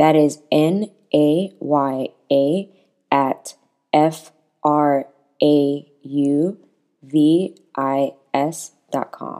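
Very slow and broken by long, frequent pauses, the delivery carries a dark, mellow tone. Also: woman, very deep, low pitch for a woman. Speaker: podcast host. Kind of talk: scripted intro and outro.

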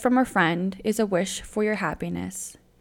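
On a very clean recording with a silent background, a woman speaks with vocal fry at a fairly slow pace. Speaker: podcast co-host. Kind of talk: casual chat. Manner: animated.

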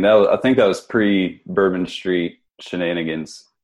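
With an American accent, a man talks at a moderate pace in a very deep, low voice. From West Virginia, Huntington. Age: 30s. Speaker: physical therapist, geriatric rehab advocate. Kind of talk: casual podcast interview.

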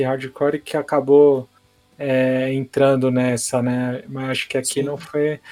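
A man takes a fairly slow pace, with music behind him. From Santos, São Paulo state, Brazil. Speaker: hardcore guitarist and label owner. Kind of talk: casual interview.

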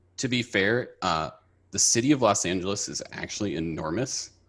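A man with an American accent speaks in a fairly low pitch. His intonation is lively over a quiet background. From Minnesota, Twin Cities. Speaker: software engineer. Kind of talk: casual chat.

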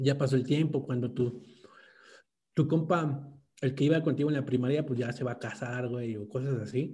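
Somewhat breathy and dark, mellow in tone, a man speaks at medium pitch with fairly even intonation, and the room echo is audible. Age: 20s. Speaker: podcast co-host. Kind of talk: casual chat.

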